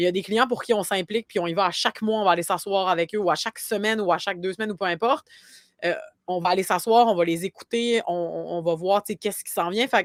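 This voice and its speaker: A woman talks very fast in a dry, close sound with no echo, on a very clean recording with a silent background. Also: medium pitch for a woman, ordinary pitch variation. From Quebec, Côte-Nord (Havre-Saint-Pierre). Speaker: marketing agency founder. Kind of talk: podcast interview. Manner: many fillers and repetitions.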